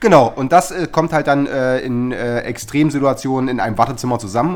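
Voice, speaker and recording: With lively intonation and a fairly quick pace, a man speaks over noticeable background noise. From Saxony, Erzgebirge region. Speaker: podcast co-host. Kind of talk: casual chat.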